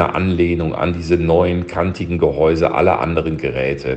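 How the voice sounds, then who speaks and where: A man with audible room echo and noticeable background noise. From Berlin. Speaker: listener leaving a voice message. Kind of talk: recorded voice message.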